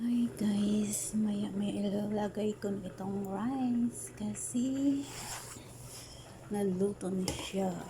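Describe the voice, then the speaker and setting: A soft-spoken voice amid noticeable background noise. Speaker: overseas domestic worker cooking vlogger. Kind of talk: cooking tutorial. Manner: soft-spoken, quiet.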